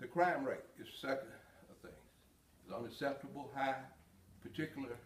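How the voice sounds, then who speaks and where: There is audible room echo and noticeable background noise. A man speaks at medium pitch with ordinary pitch variation. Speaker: police chief. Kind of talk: prepared address. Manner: hesitant, many fillers. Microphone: no body mic, may be quiet.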